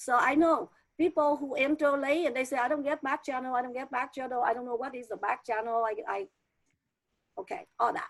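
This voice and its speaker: A woman's high pitch at a fairly quick pace, with ordinary pitch variation. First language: not English. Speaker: teacher trainer. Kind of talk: online training presentation.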